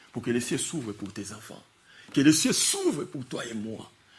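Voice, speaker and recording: In an animated tone, a man talks while audible room echo hangs around his voice. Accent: non-native. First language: not French (speaking French). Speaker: preacher. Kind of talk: sermon. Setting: church.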